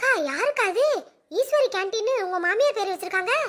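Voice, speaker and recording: A woman does a cartoonish character voice, squeaky and extremely high in pitch. Her intonation is lively and her pace moderate. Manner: chatty, giggly.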